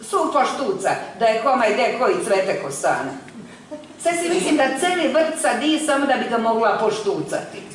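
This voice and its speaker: Her pitch is high, and it swings very widely while her loudness stays very even. The woman keeps a moderate pace against noticeable background noise. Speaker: stage actress. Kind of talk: poetry reading.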